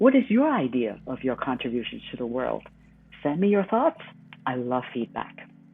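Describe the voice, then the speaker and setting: Moderate pace, in a Chinese accent. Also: woman. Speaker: podcast host, former journalist. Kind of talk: scripted commentary.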